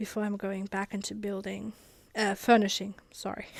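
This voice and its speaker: A woman with a German accent speaks at medium pitch in a very clean recording with a silent background. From Germany. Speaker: gaming YouTuber. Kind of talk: gameplay voiceover commentary. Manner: casual, halting with fillers.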